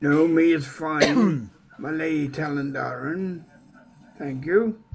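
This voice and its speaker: The man puts on a character voice pitched fairly high. He talks at a fairly slow pace. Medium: actual play. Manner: exasperated, scolding.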